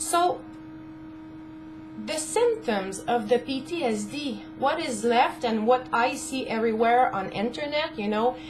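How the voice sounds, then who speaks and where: Her high-pitched voice carries lively intonation. This woman is heard over noticeable background noise. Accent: French-Canadian. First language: French. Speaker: caregiver spouse of a veteran. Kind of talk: casual talk to camera.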